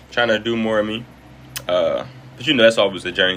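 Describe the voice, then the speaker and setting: A man's medium-pitched voice, with ordinary variation in pitch, comes through noticeable background noise. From Detroit, Michigan, US. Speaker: live streamer and entertainer. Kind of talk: casual live stream chat. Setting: live stream. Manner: relaxed, playful.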